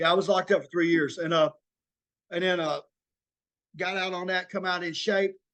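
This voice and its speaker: A high-pitched man with an Arkansas accent, fairly quick yet with long, frequent pauses, monotone and flat in intonation. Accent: Southern US (Arkansas). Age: 40s. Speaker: former prisoner sharing recovery story. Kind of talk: interview testimony. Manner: halting, many fillers.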